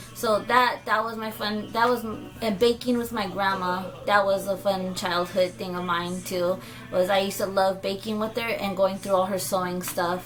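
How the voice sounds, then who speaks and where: A woman at medium pitch and a moderate pace, with music in the background. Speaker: vlogger. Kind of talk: casual chat. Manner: animated.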